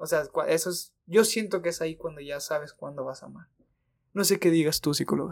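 This man has a normal speaking voice, fairly high in pitch with ordinary variation, moving at a fairly quick pace through big swings in loudness. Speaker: podcast co-host. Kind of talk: casual chat.

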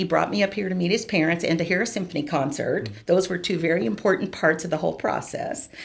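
Vocal fry marks this woman's fairly low-pitched voice. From Tennessee. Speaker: flutist and university administrator. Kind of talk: interview.

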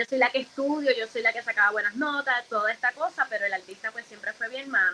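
Very fast and with hardly any pauses, a woman with a high pitch speaks with ordinary pitch variation. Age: 30s. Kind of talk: interview. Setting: live stream.

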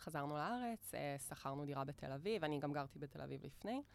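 Speaking at a very fast pace, a woman uses a very deep, low voice. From Israel, Galilee. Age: 30s. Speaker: digital nomad. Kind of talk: casual interview. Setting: studio.

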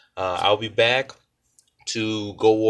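A man with a fairly low voice speaks against a quiet background. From New Orleans, Louisiana. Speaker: podcast host, former football coach. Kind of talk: solo podcast monologue. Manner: hesitant, many fillers.

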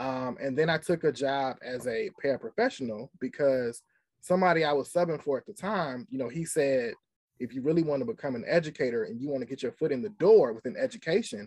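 An unremarkable speaking voice with lively intonation at a fairly quick pace, dry and close with no echo, over a quiet background. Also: man. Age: young. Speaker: special education teacher. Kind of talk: casual interview.

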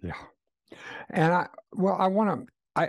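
Against a quiet background, a man is speaking. His pace is fairly slow. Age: 70s. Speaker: podcast host. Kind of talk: casual interview conversation. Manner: halting, repeats words.

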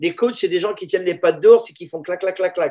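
This is a man talking. His intonation stays fairly even. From Paris banlieue (La Courneuve), born in Israel. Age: 50s. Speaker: Thai boxing teacher. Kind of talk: casual interview.

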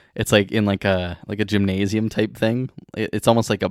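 A man with an unremarkable speaking voice, fairly low in pitch, at a moderate pace, in a very clean recording with a silent background and a dry, close sound with no echo. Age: 20s. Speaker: podcast co-host. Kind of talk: casual chat.

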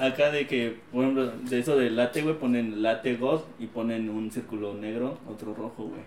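Speaking at a moderate pace with hardly any pauses, a man keeps a medium pitch and fairly even intonation. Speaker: podcast co-host. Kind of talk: casual chat.

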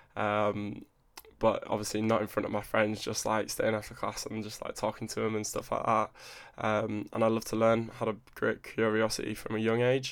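A man speaks in an English accent at a moderate pace. His intonation is monotone and flat. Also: medium pitch for a man. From England (moved around; born Newcastle, raised partly Buckinghamshire). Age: 20s. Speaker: fitness coach. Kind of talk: solo podcast monologue. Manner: casual, chatty.

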